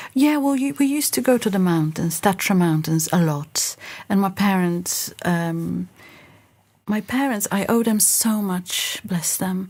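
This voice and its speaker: Somewhat breathy, a woman with a Polish accent talks at a fairly slow pace and medium pitch with lively intonation, on a very clean recording with a silent background. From Poland, Lodz. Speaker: singer and pianist. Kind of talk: interview.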